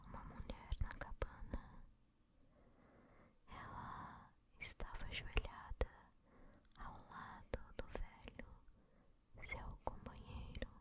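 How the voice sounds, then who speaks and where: Someone is whispering at a very slow pace. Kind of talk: ASMR bedtime story reading. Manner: whispered.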